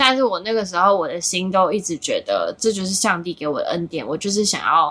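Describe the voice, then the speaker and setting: In an ordinary speaking voice, a woman speaks at a medium pitch and a moderate pace, with ordinary pitch variation. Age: 30s. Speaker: content creator. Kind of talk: casual chat.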